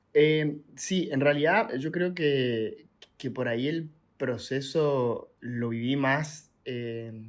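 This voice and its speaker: A man talks at a very slow pace in an Argentine accent. His pitch is fairly high. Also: ordinary pitch variation. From Argentina. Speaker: traveller and content creator. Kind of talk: podcast interview. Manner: hesitant, many fillers.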